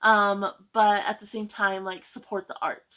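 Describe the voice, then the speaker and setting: A woman's medium-pitched voice, bright and sharp in tone, at a moderate pace. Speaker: booktuber. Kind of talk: casual chat. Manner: halting.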